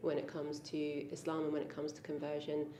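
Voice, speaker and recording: With an English accent, a woman talks at a fairly quick pace amid audible room echo. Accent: quintessentially English. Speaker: convert interviewee. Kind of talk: interview. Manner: hesitant, many ums.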